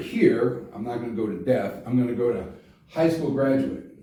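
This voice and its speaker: In a room with audible echo, a man speaks at a moderate pace and medium pitch, with ordinary pitch variation. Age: 60s. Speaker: congressional candidate and teacher. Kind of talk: campaign explainer talk. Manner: casual, conversational with fillers.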